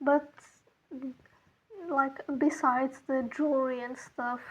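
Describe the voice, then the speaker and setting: A woman with a non-native accent speaks very slowly at high pitch, her intonation monotone and flat. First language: not English. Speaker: art content creator. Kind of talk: casual chat. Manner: halting.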